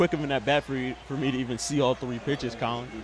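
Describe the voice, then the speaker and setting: At a very fast pace, a man speaks with medium pitch and fairly even intonation. The sound is dry with no echo, and there is light background noise. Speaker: baseball color commentator. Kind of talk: sports broadcast color commentary. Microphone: headset.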